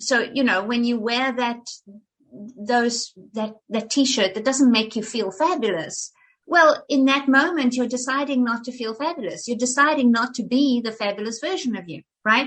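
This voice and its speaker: Her pitch is high. The woman's pitch variation is ordinary. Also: moderate pace. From South Africa. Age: 50s. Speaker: actress and life coach. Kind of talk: interview conversation. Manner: animated, repeats words.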